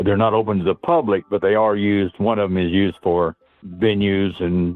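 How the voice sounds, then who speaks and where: Over music in the background, a man talks at a fairly low pitch with fairly even intonation. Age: 80s+. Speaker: former lightship sailor. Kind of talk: interview. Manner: halting.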